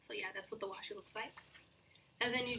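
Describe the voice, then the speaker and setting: A woman speaks over noticeable background noise. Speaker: planner YouTuber. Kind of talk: casual vlog haul.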